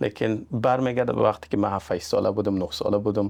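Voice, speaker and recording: A man speaks at a very fast pace. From Iran, Afghan family from Mazar-i-Sharif. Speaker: real estate agent. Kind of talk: podcast interview.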